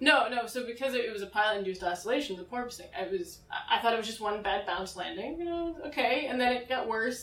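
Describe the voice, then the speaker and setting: In an American accent, a woman talks at a very fast pace, with audible room echo and noticeable background noise. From Massachusetts. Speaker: student pilot. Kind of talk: interview. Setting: outdoors at an air show venue.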